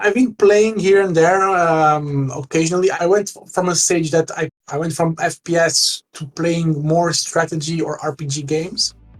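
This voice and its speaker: With fairly even intonation, a man speaks at a moderate pace in a high voice. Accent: Portuguese. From Portugal. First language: Portuguese. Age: 30s. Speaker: gamer. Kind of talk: interview. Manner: halting.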